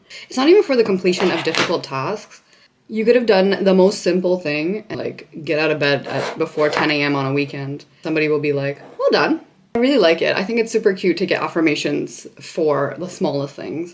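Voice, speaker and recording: This woman has a Canadian accent and a fairly low pitch, talking at a fairly quick pace. Her intonation is lively, and background noise is noticeable. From Canada, Toronto. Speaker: beauty vlogger. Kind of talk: casual chat. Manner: animated.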